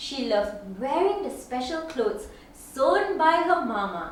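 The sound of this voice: With big pitch swings and a high pitch, a woman talks at a slow pace amid strong room echo.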